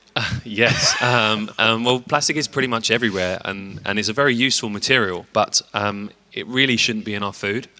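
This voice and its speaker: At a fairly quick pace, a man with a British accent and a medium pitch speaks with fairly even intonation over noticeable background noise. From UK. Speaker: company representative at tech show. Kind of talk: interview. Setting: trade show floor. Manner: hesitant, many fillers.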